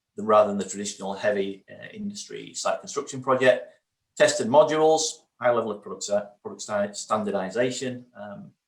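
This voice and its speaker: A man in a strong northern English accent, fairly quick, with big swings in loudness. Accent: very northern English. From northern England. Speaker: research funding programme lead presenting. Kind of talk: conference presentation. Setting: online virtual event. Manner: hesitant, many fillers.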